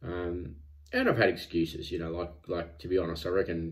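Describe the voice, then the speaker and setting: A man's very deep, low voice, somewhat breathy, at a moderate pace. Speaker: vlogger tracking weight loss. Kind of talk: casual vlog chat. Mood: reflective, self-critical. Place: home room. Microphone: phone near.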